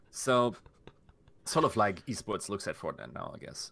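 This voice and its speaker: The speaker has a German accent and a bright, sharp tone. The recording is very clean, with a silent background. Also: man. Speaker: esports content creator. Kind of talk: casual chat.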